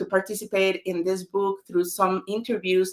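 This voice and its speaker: In a Spanish accent, a woman talks at medium pitch. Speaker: author. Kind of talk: book launch webinar.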